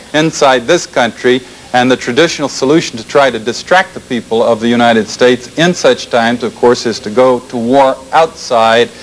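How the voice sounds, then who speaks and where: A man with an American accent at a fairly quick pace, ordinary pitch variation, and noticeable background noise. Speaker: former intelligence officer, public speaker. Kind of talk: public lecture. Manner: fast.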